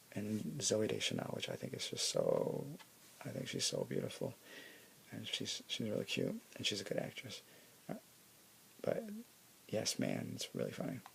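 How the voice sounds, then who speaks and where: A soft-spoken man talks at a moderate pace, pausing often and at length. Background noise is noticeable. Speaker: ASMR creator. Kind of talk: ASMR show-and-tell.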